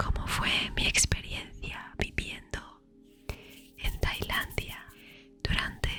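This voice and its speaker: Over music in the background, a woman whispers at a very slow pace. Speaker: ASMR creator. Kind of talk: whispered ASMR storytime. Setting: studio, close microphone with relaxing background music. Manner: whispered, soft-spoken.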